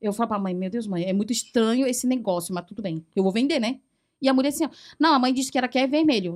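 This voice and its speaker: A woman's fairly high voice at a very fast pace, with lively intonation, in a very clean recording with a silent background. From Taiwan, central island. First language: Mandarin (speaking Portuguese). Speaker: foreign trade professional. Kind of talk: casual chat.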